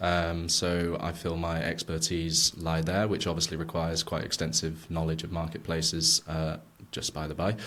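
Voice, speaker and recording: Speaking at a moderate pace, a man with an English accent has a very deep, low pitch. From England. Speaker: product manager. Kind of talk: podcast interview. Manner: hesitant, many fillers.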